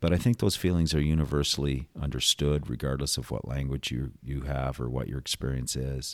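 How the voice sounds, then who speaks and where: A man with a Western Canadian accent speaks at a fairly quick pace with hardly any pauses. His voice is very deep and low, with fairly even intonation. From Calgary, Alberta, Canada. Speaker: executive director of an addiction recovery centre. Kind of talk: casual interview. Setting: studio.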